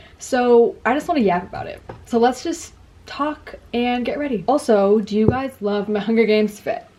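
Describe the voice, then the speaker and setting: A woman speaks at a high pitch with lively intonation and a moderate pace. There is noticeable background noise. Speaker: booktuber. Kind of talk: casual chat. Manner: animated.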